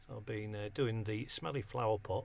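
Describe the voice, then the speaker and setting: A man's somewhat breathy voice comes through on a very clean recording against a silent background. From northern England, Hull. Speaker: community radio presenter. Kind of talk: casual chat. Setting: radio studio.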